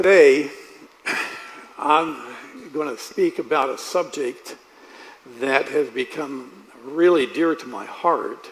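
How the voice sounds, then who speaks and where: A man with a fairly high pitch speaks at a very slow pace with long, frequent pauses, fairly even intonation, big swings in loudness and noticeable background noise. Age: 70s. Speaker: preacher. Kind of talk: sermon. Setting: church.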